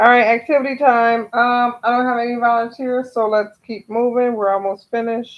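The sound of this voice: The delivery comes at a moderate pace with little pitch movement. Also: woman, fairly high pitch for a woman.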